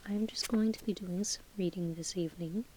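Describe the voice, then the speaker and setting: The speaker is soft-spoken and uses a calm tone. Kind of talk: casual talk to camera. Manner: soft-spoken, calm.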